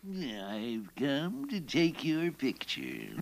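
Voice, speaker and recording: A man's cartoonish character voice at a medium pitch, with very wide pitch swings. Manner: gloating, theatrical.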